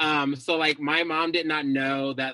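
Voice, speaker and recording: Bright and sharp in tone, a woman with an American accent keeps a fairly even intonation. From Scottsdale, Arizona. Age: 20s. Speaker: social justice facilitator. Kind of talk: personal storytelling.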